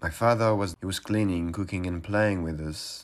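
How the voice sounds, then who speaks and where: A man with a French accent speaks in a fairly even intonation. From France, Paris suburbs. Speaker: interviewee. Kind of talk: personal testimony.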